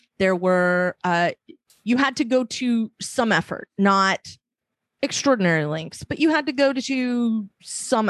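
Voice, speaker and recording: Here is a woman with an unremarkable speaking voice and lively intonation. The sound is dry and close, with no echo. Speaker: panelist. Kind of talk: casual panel discussion.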